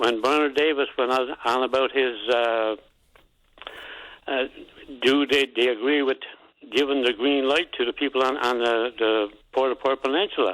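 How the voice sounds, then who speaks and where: With a Newfoundland accent, a man talks at a moderate pace and medium pitch, his pitch varying in an ordinary way. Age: 70s. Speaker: caller. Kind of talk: call-in radio complaint. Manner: halting.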